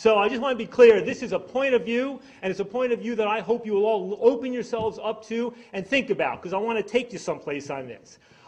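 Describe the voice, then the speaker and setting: A man's animated, high-pitched voice at a very fast pace, ordinary pitch variation, and noticeable background noise. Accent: American. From New York. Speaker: drug policy activist. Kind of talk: speech. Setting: stage with audience.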